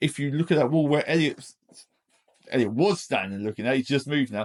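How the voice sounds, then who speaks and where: A man with an English accent has a fairly high pitch, lively intonation and vocal fry. The sound is dry and close with no echo. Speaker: DIY home renovator, vlogger. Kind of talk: casual video tour. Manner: fast.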